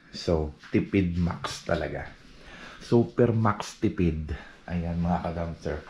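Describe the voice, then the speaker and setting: Against noticeable background noise, a man talks at a very slow pace in a very deep, low pitch with ordinary pitch variation. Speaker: vlogger. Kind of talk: casual vlog. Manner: soft-spoken; animated.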